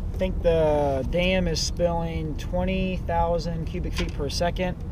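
A man is heard with noticeable background noise and a dry sound with no echo. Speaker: angler vlogger. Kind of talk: tutorial. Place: boat. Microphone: camera far.

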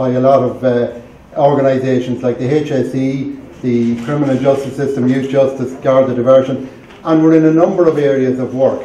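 With a Cavan accent, a man speaks at a moderate pace and medium pitch with fairly even intonation, in audible room echo over light background noise. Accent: Irish, Cavan. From Ireland, County Cavan; Ireland. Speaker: charity chairperson. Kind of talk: speech. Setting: library event with audience. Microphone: camera far.

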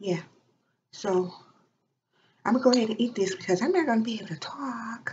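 A soft-spoken woman talks at a moderate pace, somewhat breathy. Light background noise can be heard. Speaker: ASMR vlogger. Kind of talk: casual talk to camera. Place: home room. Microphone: webcam.

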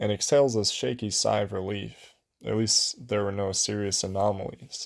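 A natural voice reads a passage aloud. Nothing much can be heard behind it.

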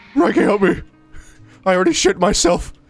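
Over faint background music, someone does a put-on character voice at a middle pitch and a fairly quick pace. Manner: cartoon-like, panicked, pleading.

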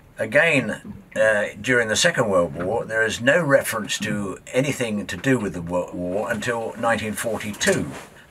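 Over light background noise, a man with a southern English accent speaks at a fairly slow pace with lively intonation. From southern England. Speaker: documentary presenter and local historian; presenter. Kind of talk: documentary narration. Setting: outdoors on a boat. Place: boat.

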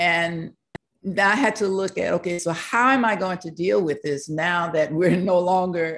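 A woman talks in an unremarkable speaking voice, fairly low in pitch with ordinary pitch variation. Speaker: university professor. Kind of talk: online panel presentation. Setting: video call. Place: home room. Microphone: video call.

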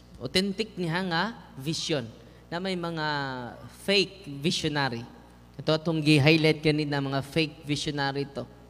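Speaking at a fairly slow pace with ordinary pitch variation, a man leaves long, frequent pauses. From Visayas, Philippines. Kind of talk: sermon. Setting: church. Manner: animated; humorous, code-switching. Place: church. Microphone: handheld.

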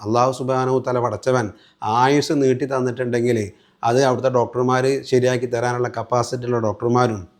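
Over a silent background in a very clean recording, a man speaks at a medium pitch with monotone, flat intonation. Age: 40s. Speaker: Islamic religious teacher, patient. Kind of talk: patient testimonial.

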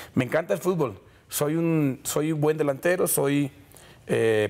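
A man talks at a moderate pace with a fairly high pitch. His pitch varies in an ordinary way. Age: 30s. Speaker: vallenato singer; guest. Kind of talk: TV interview. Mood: relaxed, friendly. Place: studio. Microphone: lapel.

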